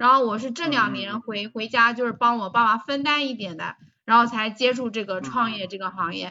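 A woman speaks in a normal speaking voice at a fairly high pitch. Her pace is moderate, with ordinary pitch variation. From Taizhou, Jiangsu, China. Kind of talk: casual chat.

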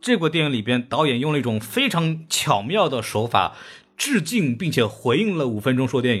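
Fairly quick, somewhat breathy speech from a man with fairly high pitch and lively intonation. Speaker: podcast host and film critic. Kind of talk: casual chat. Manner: animated.

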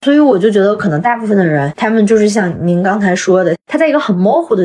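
Her delivery is fairly quick, with lively intonation. The woman speaks at a medium pitch. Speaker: travelling swing dancer. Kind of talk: casual interview chat. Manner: talkative.

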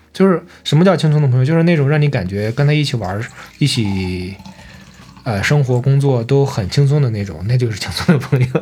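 This man talks at a fairly quick pace with lively intonation and medium pitch. Noticeable background noise is present. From Shandong, China. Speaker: podcast co-host. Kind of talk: casual chat.

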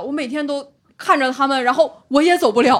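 A woman talks at a fairly quick pace in a high voice. The recording is very clean, with a silent background. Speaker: stand-up comedian with a finance job. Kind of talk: casual chat.

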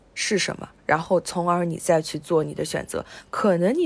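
A normal speaking voice, recorded very cleanly against total silence, goes at a moderate speed with normal pitch movement. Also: woman. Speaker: podcast co-host. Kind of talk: casual film discussion.

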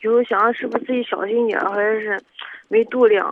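The speaker is a woman. Her voice sits fairly high. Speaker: student caller. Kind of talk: personal testimony on call-in radio.

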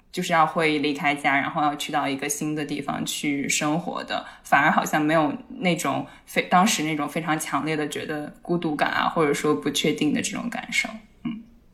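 A woman with a very deep, low pitch, ordinary pitch variation and a moderate pace, amid noticeable background noise and audible room echo. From Kunming, China. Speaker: psychology podcast co-host. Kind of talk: casual chat.

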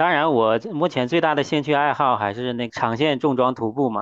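Delivery comes at a middling speed, and the pitch rises and falls in a usual way. This is a plain, everyday voice. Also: man. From Heilongjiang, northeast China. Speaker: hiker and hardware engineer. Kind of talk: podcast interview. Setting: remote call.

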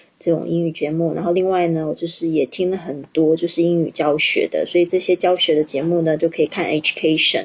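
Over noticeable background noise, a woman with a slight non-native accent and fairly low pitch speaks at a fairly quick pace with hardly any pauses in a monotone, flat intonation. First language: not English (Chinese) (speaking Chinese). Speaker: English teacher and podcaster. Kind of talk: livestream teaching chat. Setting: livestream.

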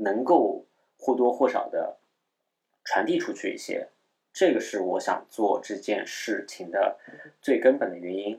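A man talks at a very slow pace. He has a slight Shanghai accent. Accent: slight Shanghainese Mandarin, front nasals. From Shanghai, China. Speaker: podcast host. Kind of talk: casual solo chat. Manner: hesitant, many fillers; slightly lowered, held-down voice.

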